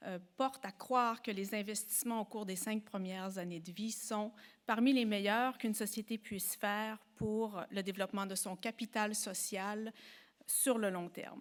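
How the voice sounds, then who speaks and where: A woman with a Quebec accent talks at a fairly slow pace in a fairly high voice with fairly even intonation, on a very clean recording with a silent background. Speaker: professor and psychologist. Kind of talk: lecture. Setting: symposium before an audience.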